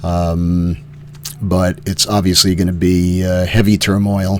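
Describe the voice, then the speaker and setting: Over noticeable background noise, a man speaks with a very deep, low pitch and fairly even intonation. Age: 70s. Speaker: cancer patient vlogger. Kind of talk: personal video update. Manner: halting, many fillers.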